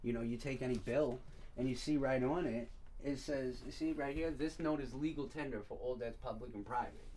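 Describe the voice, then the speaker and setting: Using a plain, everyday voice, a man with an American accent talks at a fairly quick pace in a medium pitch with fairly even intonation. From Long Island, New York. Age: 30s. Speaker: podcast host. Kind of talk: casual chat.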